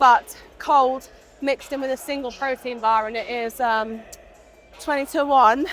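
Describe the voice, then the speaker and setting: The speaker is a woman. Her pitch is high. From UK. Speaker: fitness vlogger. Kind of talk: casual talk to camera.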